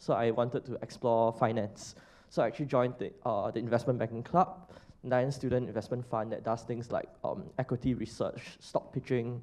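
At a moderate pace, a man with a medium pitch speaks in a dark, mellow tone. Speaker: economic development associate, recent alumnus; panelist. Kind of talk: panel discussion. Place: hall. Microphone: handheld.

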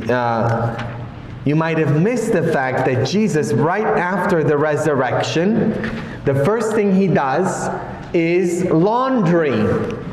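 A man talks at a very slow pace, with light background noise and audible room echo. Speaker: priest. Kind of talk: sermon. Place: church. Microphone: camera far.

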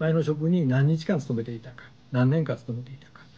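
The man's tone is dark and mellow. There is a somewhat breathy quality to his speech. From Japan. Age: 50s. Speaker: YouTube channel host, career consultant. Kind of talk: tutorial. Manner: casual, explanatory. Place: home room.

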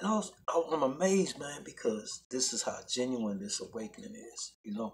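A man speaks at a moderate pace. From Chicago South Side; Chicago. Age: 40s. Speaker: religious video blogger. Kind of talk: religious monologue vlog. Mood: earnest, preachy. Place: home room. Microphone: phone near.

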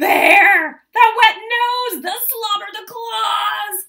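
Doing a put-on character voice, a woman speaks slowly at an extremely high pitch, with a bright, sharp tone, vocal fry and ordinary pitch variation.

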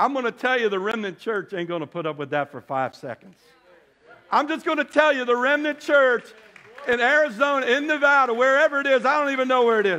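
A man speaks in an animated, raised, projected voice at an extremely high pitch. He goes very fast, with lively intonation. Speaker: preacher. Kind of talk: sermon to a congregation, scripture reading with call-and-response. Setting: church with congregation. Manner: animated, fervent, exhorting; pauses for audience amens, repeats phrases for emphasis. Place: church.

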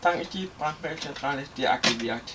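Amid noticeable background noise, a man with a fairly high pitch speaks with lively intonation. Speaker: hobbyist video maker; hobbyist demonstrating fire alarm panel. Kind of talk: product demonstration; tutorial. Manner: casual. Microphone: phone near.

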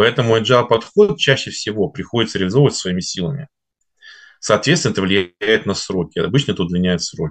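Very fast in pace, a man speaks at a fairly low pitch. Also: lively intonation, quiet background. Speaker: finance and automation consultant; presenter. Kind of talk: webinar presentation. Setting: online webinar broadcast. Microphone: webcam.

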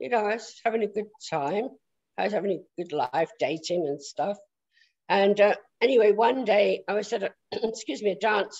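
A woman's medium-pitched voice with a southern English accent, lively intonation, moderate pace and long, frequent pauses against a quiet background. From south London, England. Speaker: prophetic speaker; interview guest, speaker. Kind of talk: testimony. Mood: relaxed, reminiscing. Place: home room. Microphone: video call.

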